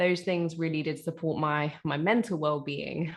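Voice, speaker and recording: Over a quiet background, a woman with a London accent speaks in a very deep, low pitch at a moderate pace with monotone, flat intonation. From East London. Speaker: author, spoken word poet and teacher. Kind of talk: interview answer.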